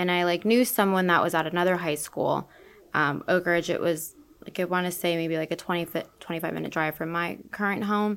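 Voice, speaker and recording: In an American accent, a woman talks at a fairly quick pace with a fairly low pitch and fairly even intonation. It is an ordinary speaking voice, on a very clean recording with a silent background. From Orlando, Florida. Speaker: real estate broker. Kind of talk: interview.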